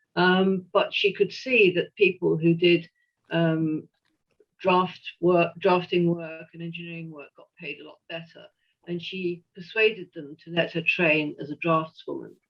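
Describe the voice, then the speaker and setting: With a strong English accent, a woman talks fairly slowly at a fairly low pitch. Her intonation is monotone and flat, while her loudness swings widely. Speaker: historian and retired engineer. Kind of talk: lecture. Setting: video call. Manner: hesitant, many fillers.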